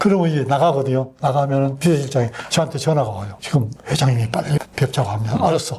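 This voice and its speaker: A man's fairly high voice at a very fast pace, with noticeable background noise. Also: ordinary pitch variation. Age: 80s+. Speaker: retired army general. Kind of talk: interview answer.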